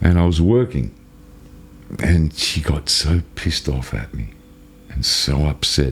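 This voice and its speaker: With an Australian accent, a man talks at a fairly slow pace in a very deep, low voice, leaving long, frequent pauses over noticeable background noise. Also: lively intonation. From Australia, Melbourne. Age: 60s. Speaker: channel owner telling life story. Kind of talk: personal storytelling. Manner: casual, halting with false starts.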